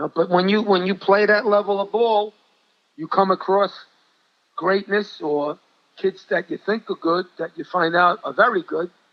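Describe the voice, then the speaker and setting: A man with an American accent and a high pitch speaks at a moderate pace with ordinary pitch variation. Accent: Brooklyn Italian New York. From New York City. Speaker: high school basketball coach. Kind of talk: interview storytelling. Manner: animated.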